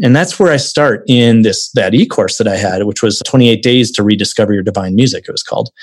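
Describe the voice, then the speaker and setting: Speaking at a fairly quick pace with an American accent, a man uses a normal speaking voice at medium pitch. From Wisconsin, US Midwest. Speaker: adventurer and outdoor video creator. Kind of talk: casual interview.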